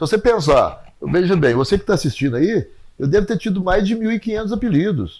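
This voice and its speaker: The speaker is a man. He talks at a moderate pace. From Brazil, Passos (Minas Gerais). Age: 60s. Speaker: sports coach and former city secretary. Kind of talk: interview testimony.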